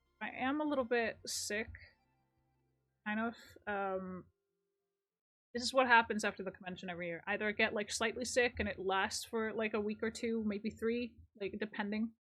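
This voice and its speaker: With music in the background, a woman talks at a moderate pace in a fairly high voice, her intonation fairly even and her speech broken by long, frequent pauses. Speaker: game streamer. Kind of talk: live game stream chat. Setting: live stream. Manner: casual, hesitant with fillers.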